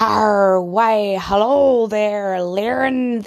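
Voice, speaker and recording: A woman speaks in a put-on character voice. Her pitch sits in the middle range. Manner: mock pirate talk.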